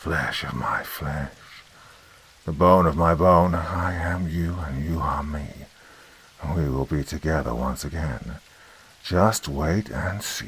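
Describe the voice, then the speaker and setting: Putting on a raspy, menacing character voice, a man speaks with a very deep, low pitch at a fairly slow pace, leaving long, frequent pauses. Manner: eerie, menacing.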